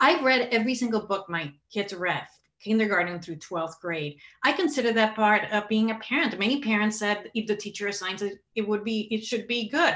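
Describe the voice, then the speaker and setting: This woman talks fairly quickly in a Spanish accent. Her pitch is fairly high, and it rises and falls by an ordinary amount. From Puerto Rico. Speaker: human rights advocate. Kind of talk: interview.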